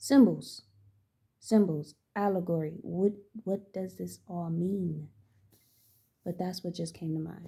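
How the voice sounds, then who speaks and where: Soft-spoken and somewhat breathy, a woman speaks at a fairly slow pace and a fairly low pitch in a dark, mellow tone, with big swings in loudness and long, frequent pauses. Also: ordinary pitch variation. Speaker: spiritual channeler and tarot reader. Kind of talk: spiritual channeling monologue. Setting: at home. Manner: halting.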